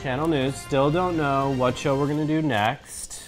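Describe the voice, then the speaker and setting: A fairly slow pace of speech with music in the background. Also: man. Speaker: co-host of reaction show. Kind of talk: casual vlog chat. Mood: playful, joking. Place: home room.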